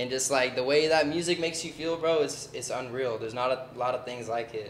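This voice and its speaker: Noticeable background noise and audible room echo surround a man speaking at a fairly quick pace. His medium pitch shows ordinary variation. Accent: American. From Southern California, Oceanside. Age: 20s. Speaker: aspiring musician. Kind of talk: casual interview.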